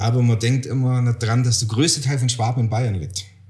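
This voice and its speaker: Somewhat breathy, a man talks at a moderate pace and medium pitch with fairly even intonation. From Bavaria, Garmisch-Partenkirchen. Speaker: podcast co-host. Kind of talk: casual chat.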